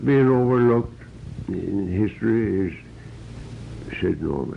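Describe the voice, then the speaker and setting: Noticeable background noise fills the clip as a man talks very slowly. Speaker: pioneer oldtimer interviewee. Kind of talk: oral history interview.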